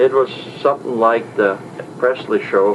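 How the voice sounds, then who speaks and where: A man with an Upper Midwest US accent speaks at a moderate pace with fairly even intonation over noticeable background noise. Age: 60s. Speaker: traveler recounting a trip. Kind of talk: spoken diary report. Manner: halting.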